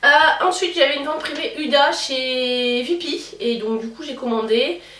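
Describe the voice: Audible room echo surrounds a woman's high-pitched voice, fairly bright in tone with ordinary pitch variation.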